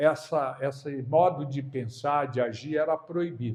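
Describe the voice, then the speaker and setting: A man with a dark, mellow tone. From Brazil. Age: 70s. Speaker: spiritist lecturer. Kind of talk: lecture. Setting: spiritist centre with audience. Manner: conversational.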